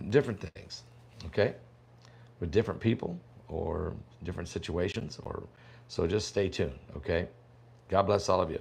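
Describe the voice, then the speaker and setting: With a very deep, low pitch and a somewhat breathy sound, a man speaks at a moderate pace with ordinary pitch variation and long, frequent pauses. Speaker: prophecy preacher and online pastor. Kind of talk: casual livestream chat. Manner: talking low; casual, halting with fillers.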